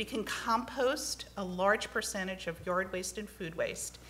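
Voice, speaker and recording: A woman's very slow speech with ordinary pitch variation over light background noise. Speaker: environmental advocate testifying at hearing; witness. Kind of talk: testimony at legislative hearing. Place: hall. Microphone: podium.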